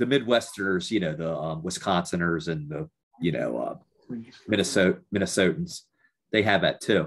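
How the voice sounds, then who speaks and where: A man with an American accent speaks in a very deep, low pitch with lively intonation. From US, Baltimore. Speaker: podcast host / interviewer. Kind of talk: casual interview chat.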